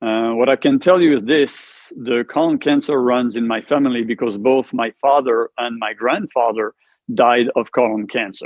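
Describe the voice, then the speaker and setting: Speaking at a moderate pace with a French accent, a man uses a medium pitch and ordinary pitch variation. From France. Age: 50s. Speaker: cancer survivor, martial arts instructor. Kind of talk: interview testimony. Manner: halting.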